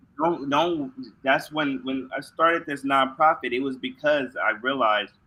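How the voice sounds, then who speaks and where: Here is a man with an unremarkable speaking voice and an American accent. He keeps a fairly high pitch, a moderate pace and fairly even intonation. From US West Coast, San Diego. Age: 40s. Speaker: nonprofit co-founder and keynote speaker. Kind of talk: interview.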